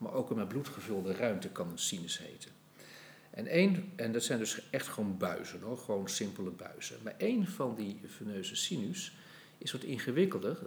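Somewhat breathy, a man's voice makes very wide pitch swings amid audible room echo. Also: medium pitch for a man, moderate pace. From Netherlands, Utrecht. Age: 60s. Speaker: anatomy professor. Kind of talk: podcast interview.

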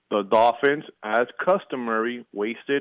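A man speaks at a fairly slow pace with medium pitch and ordinary pitch variation. The sound is dry and close, with no echo. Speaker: regular sports caller. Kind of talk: sports debate on radio. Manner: announcer-style delivery.

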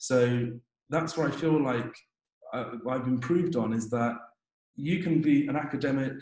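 Keeping his intonation fairly even, a man talks at a medium pitch in a normal speaking voice. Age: 20s. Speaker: dentist. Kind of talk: interview.

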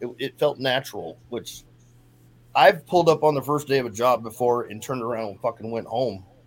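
A man with an unremarkable speaking voice and a medium pitch talks at a fairly quick pace with lively intonation. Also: big swings in loudness. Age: 50s. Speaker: person in addiction recovery. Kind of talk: recovery testimony in casual interview.

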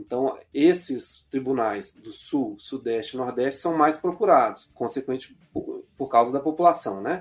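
With an unremarkable speaking voice, a man at fairly high pitch talks at a fairly slow pace with lively intonation, hardly any pauses and big swings in loudness. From Belo Horizonte, Minas Gerais, Brazil. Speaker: labour court judge. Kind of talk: interview.

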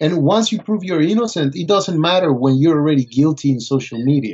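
This man talks with a Spanish accent. His pitch swings very widely. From Colombia. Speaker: fashion photographer. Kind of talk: interview.

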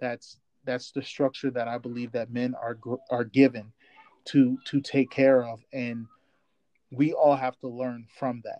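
In a dry, close recording with no echo, a man speaks at a medium pitch and fairly slow pace, monotone and flat, with long, frequent pauses and big swings in loudness. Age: 30s. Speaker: podcast co-host. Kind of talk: casual chat.

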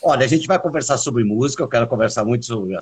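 A man's somewhat breathy voice. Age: 50s. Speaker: podcast host and musician. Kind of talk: casual chat. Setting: video call.

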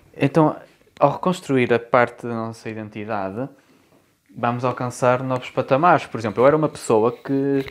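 A man speaks with a European Portuguese accent at a medium pitch. His pace is moderate and his pitch variation ordinary. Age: 20s. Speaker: podcast host. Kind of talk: solo monologue podcast. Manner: casual conversational. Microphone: room echo.

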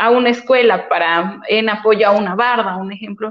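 A woman's fairly high-pitched voice, a normal speaking voice at a moderate pace with fairly even intonation. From Puebla, Mexico. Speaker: municipal official. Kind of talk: interview.

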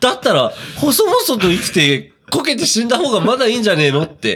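The speaker is a man. He uses an extremely high pitch. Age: 20s. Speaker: podcast co-host. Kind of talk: casual chat.

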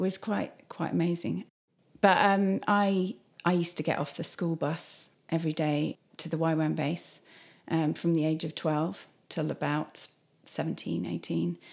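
A woman speaks at a fairly slow pace in a very deep, low pitch with ordinary pitch variation. The recording is very clean, with a silent background. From southern England (Sussex). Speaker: youth ministry leader. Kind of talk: interview. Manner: hesitant, many fillers.

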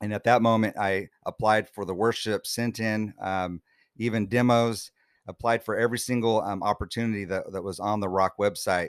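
A man speaks at a moderate pace with fairly low pitch and a monotone, flat intonation. The sound is dry and close with no echo, on a very clean recording with a silent background. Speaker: worship leader. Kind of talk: testimony.

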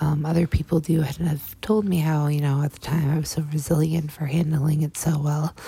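Over noticeable background noise, a woman with a very deep, low pitch speaks fairly quickly and with fairly even intonation. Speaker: podcast host sharing survivor story. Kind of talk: personal testimony monologue. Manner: halting, with fillers and repetitions.

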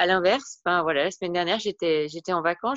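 Against a quiet background, a woman talks very fast at a fairly low pitch, the sound dry and close with no echo. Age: 40s. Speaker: wellbeing and personal development coach. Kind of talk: interview.

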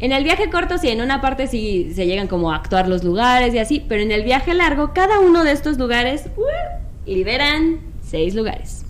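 A woman with a Mexican accent speaks at a high pitch and a fairly quick pace, with very wide pitch swings. There is noticeable background noise and audible room echo. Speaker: board game designer and publisher. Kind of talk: casual chat.

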